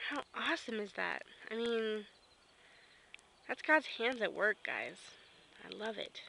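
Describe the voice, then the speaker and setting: A woman with an American accent talks at a fairly slow pace, with long, frequent pauses. Her fairly high pitch carries vocal fry, a bright, sharp tone and ordinary pitch variation. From Kansas. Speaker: vlogger. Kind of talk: casual vlog. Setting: outdoors on back porch.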